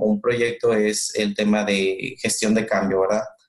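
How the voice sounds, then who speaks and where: A man's moderate pace and ordinary pitch variation come through noticeable background noise. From northern Mexico, Monterrey. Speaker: customer experience manager. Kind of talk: interview.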